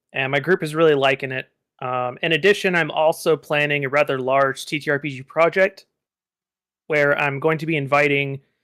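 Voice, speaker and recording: With a slight Texan accent, a man talks at a fairly quick pace in a fairly high pitch, his bright, sharp tone and fairly even intonation captured dry and close with no echo in a very clean recording with a silent background. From Texas. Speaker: game designer and game master. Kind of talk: casual chat.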